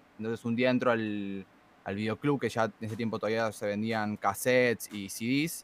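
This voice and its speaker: In an Argentine accent, a man talks with fairly even intonation. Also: medium pitch for a man, moderate pace. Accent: Argentine Spanish (Rioplatense). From Argentina. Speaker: trap musician and freestyle rapper. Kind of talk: casual interview chat.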